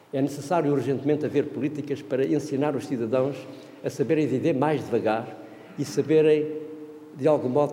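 A man speaks in a fairly high voice. Echo from the room is audible. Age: 60s. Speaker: professor. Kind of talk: seminar talk. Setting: conference room with audience. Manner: animated.

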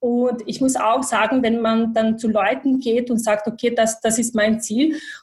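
Speaking in a Bosnian accent, a woman keeps her fairly high pitch in a monotone, flat intonation. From Bosnia and Herzegovina. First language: Bosnian (speaking German). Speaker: IT manager. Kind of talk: interview. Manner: halting, many fillers.

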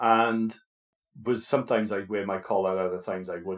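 In a quiet background, a man with a Welsh accent speaks in a fairly low voice. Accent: Welsh, noticeable. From Wales. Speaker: podcast co-host, vicar. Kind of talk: casual chat.

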